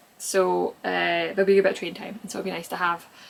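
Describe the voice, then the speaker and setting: A woman mumbles at a very fast pace. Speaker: knitter and knitting pattern designer. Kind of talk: casual podcast talk to camera. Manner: rambling, mumbling.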